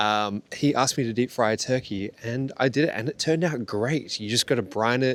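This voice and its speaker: The recording is very clean, with a silent background. A man with an Australian accent talks at medium pitch and moderate pace, with ordinary pitch variation. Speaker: yacht chef. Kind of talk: casual chat.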